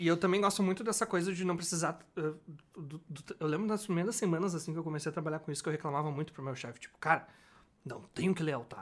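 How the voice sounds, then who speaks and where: This man has a fairly high pitch and ordinary pitch variation, and he talks at a fairly quick pace. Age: 20s. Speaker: designer. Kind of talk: casual chat. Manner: animated.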